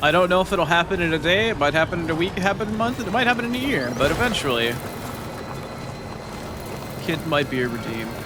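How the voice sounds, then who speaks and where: A man speaks very fast in a high voice with very wide pitch swings, broken by long, frequent pauses, while music plays in the background. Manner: ASMR.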